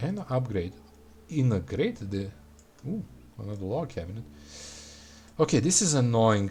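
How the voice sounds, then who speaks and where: A man with a Serbian accent talks in a dark, mellow, somewhat breathy tone, his pitch swinging very widely. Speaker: gaming streamer. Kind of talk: live game stream chat. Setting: live stream. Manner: casual, halting.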